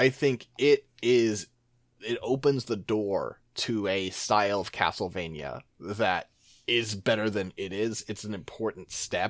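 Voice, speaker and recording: Here is a man with an ordinary speaking voice and fairly low pitch. He talks at a fairly slow pace with ordinary pitch variation. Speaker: podcast host. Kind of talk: casual chat.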